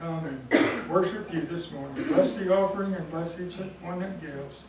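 A high-pitched man talks at a moderate pace. The room echo is audible, and background noise is noticeable. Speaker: church lay leader. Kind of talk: prayer. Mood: reverent, gentle. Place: church. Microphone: camera far.

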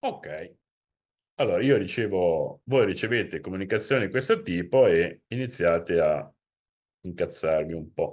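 A man with a Genoese accent at a fairly slow pace, with long, frequent pauses over a quiet background. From Italy, Genoa; Italy. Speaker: insurance consultant; presenter. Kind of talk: webinar presentation. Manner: conversational. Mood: informal, explanatory. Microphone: webcam.

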